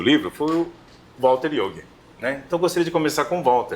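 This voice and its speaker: A man talks with vocal fry. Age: 50s. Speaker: round-table moderator. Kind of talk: round-table discussion.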